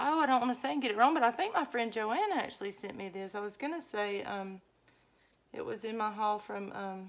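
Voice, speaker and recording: Here a woman with a Southern US accent talks at a fairly quick pace. Her pitch is fairly high and her intonation lively. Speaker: journaling vlogger. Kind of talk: casual craft vlog chat. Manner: chatty, rambling with fillers.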